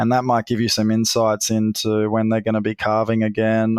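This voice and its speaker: Against a quiet background, a man speaks at a moderate pace in a medium-pitched, monotone, flat voice. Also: dry, close sound with no echo. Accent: Australian. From Australia, North West Queensland. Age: 40s. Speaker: grazier and drone company founder. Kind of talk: podcast interview.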